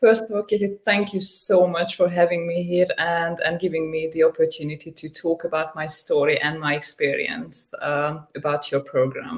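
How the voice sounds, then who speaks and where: A woman with a fairly low pitch speaks at a moderate pace with hardly any pauses and ordinary pitch variation, over noticeable background noise. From Hungary. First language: Hungarian. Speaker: coaching client. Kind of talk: interview testimony. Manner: halting, frequent repetitions and fillers.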